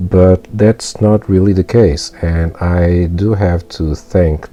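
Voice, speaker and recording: Music plays in the background as a man with a non-native accent speaks with fairly even intonation. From not an English-speaking country. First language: not English. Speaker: mobile game YouTuber. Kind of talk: gameplay commentary. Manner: halting, many fillers.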